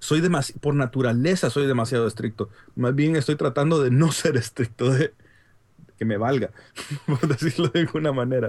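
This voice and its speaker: With a Honduran accent, the speaker sounds somewhat breathy, moving at a moderate pace with ordinary pitch variation and very even loudness. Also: man, medium pitch for a man. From Honduras. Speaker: app developer and consultant. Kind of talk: casual chat. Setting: video call.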